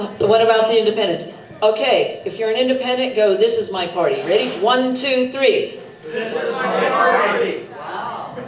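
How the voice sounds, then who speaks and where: A woman talks at a moderate pace. The clip has noticeable background noise and audible room echo. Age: 70s. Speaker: political candidate. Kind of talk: debate opening statement. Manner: animated.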